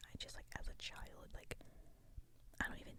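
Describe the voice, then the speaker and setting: Someone is whispering. The pace stays moderate. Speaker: ASMR creator. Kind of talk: whispered ASMR ramble. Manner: hesitant, rambling.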